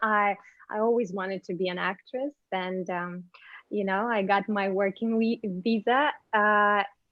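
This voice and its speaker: Speaking with a Ukrainian accent, a woman talks at a fairly slow pace and a medium pitch. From Ukraine. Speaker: actress and model. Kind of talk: interview. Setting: video call.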